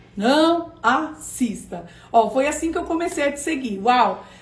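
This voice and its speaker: An animated voice speaks at a fairly slow pace with audible room echo. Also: woman. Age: 40s. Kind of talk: online class livestream.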